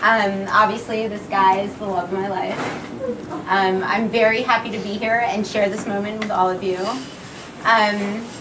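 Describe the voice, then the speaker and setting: Audible room echo and noticeable background noise around a woman speaking at a fairly high pitch. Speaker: bride. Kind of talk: wedding speech.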